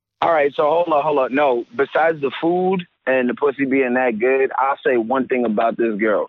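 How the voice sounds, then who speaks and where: A man with a plain, everyday voice speaks at a medium pitch in an American accent. His pace is moderate. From New York. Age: 20s. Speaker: caller. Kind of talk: casual chat. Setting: phone call.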